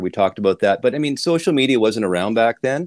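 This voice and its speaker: A man with a Canadian accent at a very fast pace, ordinary pitch variation, a dry sound without echo, and a quiet background. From Canada, Winnipeg; Manitoba, Canada. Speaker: audio podcast host. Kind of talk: casual chat. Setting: audio shop. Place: home room. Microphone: video call.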